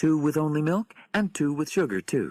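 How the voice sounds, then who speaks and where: In a put-on character voice with lively intonation, a man speaks at a moderate pace in a very clean recording with a silent background and a dry, close sound with no echo. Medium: read story.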